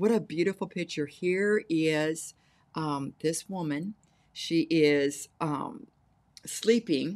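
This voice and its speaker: A woman at a very slow pace, with ordinary pitch variation and a quiet background. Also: fairly low pitch for a woman. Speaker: preacher. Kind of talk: sermon. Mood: warm, earnest.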